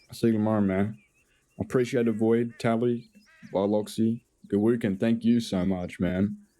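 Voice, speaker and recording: At a moderate pace and very even loudness, a man speaks in a fairly low voice with a dark, mellow tone, flat monotone intonation and long, frequent pauses. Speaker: streamer. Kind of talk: casual chat. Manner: sounds sarcastic; low energy.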